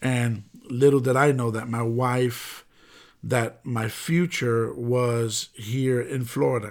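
Using an American accent, a man speaks very slowly at medium pitch. His intonation is fairly even, and the recording is very clean with a silent background. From New York City (the Bronx). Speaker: pastor. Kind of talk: sermon-style podcast monologue.

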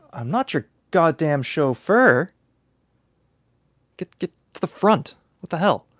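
A man does a gruff, put-on character voice, pitched high with very wide swings. He talks at a fairly slow pace with long, frequent pauses. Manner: gruff, angry, snapping.

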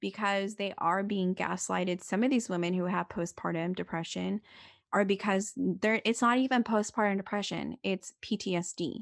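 Speaking with an American accent at a moderate pace, a woman uses medium pitch and ordinary pitch variation, with a dry, close sound free of echo over a quiet background. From California. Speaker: birth advocate and podcaster. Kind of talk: casual interview chat.

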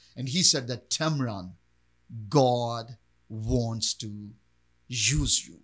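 A medium-pitched man with a Pakistani accent speaks at a very slow pace, with long, frequent pauses, ordinary pitch variation and big swings in loudness. The recording is very clean with a silent background. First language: Urdu. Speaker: pastor. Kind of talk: interview testimony.

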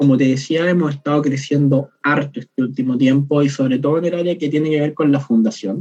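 Using an ordinary speaking voice, a man talks at a fairly quick pace with a fairly high pitch, very even loudness and hardly any pauses. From southern Chile, Temuco. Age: 20s. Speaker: chemistry student and harm-reduction founder. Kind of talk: casual interview.

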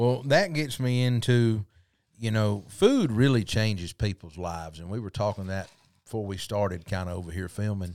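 In a Southern US accent, a man talks in a fairly low pitch with big swings in loudness, on a very clean recording with a silent background. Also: ordinary pitch variation, moderate pace. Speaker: podcast host. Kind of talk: casual interview chat.

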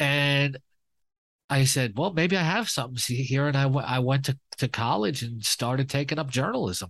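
Against a quiet background, a man speaks at a moderate pace, medium in pitch with ordinary pitch variation. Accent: New York. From New York, Queens. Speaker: fantasy sports analyst. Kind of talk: casual interview.

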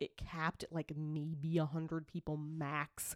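Animated woman with a fairly low pitch, dry and close with no echo. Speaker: podcast co-host. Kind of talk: casual chat. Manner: animated, laughs often.

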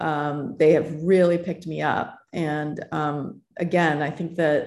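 An ordinary speaking voice from a woman, fairly low in pitch, at a fairly slow pace with fairly even intonation, on a very clean recording with a silent background. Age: 50s. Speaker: tech founder and author. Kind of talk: interview.

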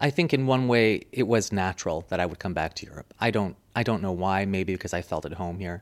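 A man talks with hardly any pauses. His voice is fairly low. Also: ordinary pitch variation, very clean recording, silent background. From US, suburb of Washington, D.C. (born in Munich, Germany). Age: young. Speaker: public relations professional, former radio worker. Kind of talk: interview conversation.

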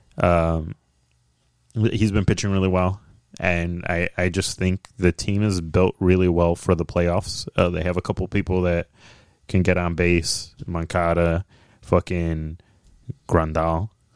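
The speaker goes at a fairly slow pace with long, frequent pauses and little pitch movement. The tone is clear and smooth, and the sound is dry and close with no echo. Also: man, low pitch for a man.

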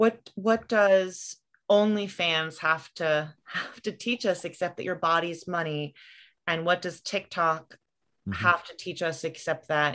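A woman with an unremarkable speaking voice talks at a fairly slow pace and fairly low pitch against a quiet background. Her intonation is fairly even, but her loudness swings a lot. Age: 30s. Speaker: writer and mother. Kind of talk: casual chat.

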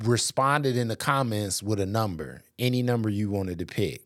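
An ordinary speaking voice with an American accent and ordinary pitch variation, on a very clean recording with a silent background. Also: man. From Racine, Wisconsin. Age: 40s. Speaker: pastor's husband and podcast host. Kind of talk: casual interview chat.

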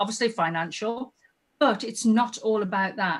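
At a moderate pace, a woman speaks in a fairly high, somewhat breathy voice with lively intonation. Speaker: tourism promoter. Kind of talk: casual interview chat.

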